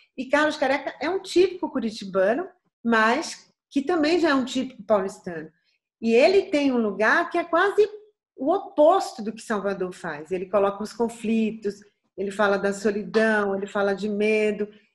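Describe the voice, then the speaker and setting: A woman with a slight Bahian accent speaks at a moderate pace, fairly high in pitch and somewhat breathy. Her pitch swings very widely. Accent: light Bahian. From Bahia, Brazil. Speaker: singer. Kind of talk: interview answer.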